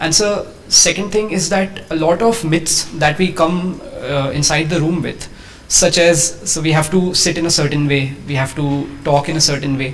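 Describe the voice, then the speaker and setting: Amid noticeable background noise and audible room echo, a man with a fairly high pitch speaks with fairly even intonation. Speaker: civil service exam candidate. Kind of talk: mock interview. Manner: fast.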